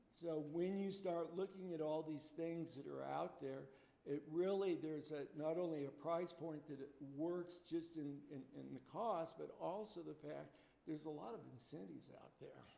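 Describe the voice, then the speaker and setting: A man's fairly high voice, fairly even intonation and moderate pace over noticeable background noise. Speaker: building energy consultant, trainer. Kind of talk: training presentation. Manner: halting, with many fillers.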